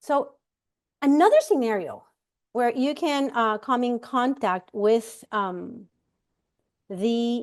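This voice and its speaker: A woman speaks very slowly in a strong Puerto Rican accent, her pitch fairly high and her intonation lively. The background is quiet. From Puerto Rico. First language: Spanish. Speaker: immigration rights panelist. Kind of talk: know-your-rights presentation. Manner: halting, many fillers.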